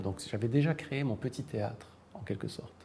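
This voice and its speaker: A man speaks in a dark, mellow tone that is somewhat breathy. His pitch varies an ordinary amount. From Morocco. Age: 60s. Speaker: writer and university professor. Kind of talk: interview. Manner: hesitant, many fillers.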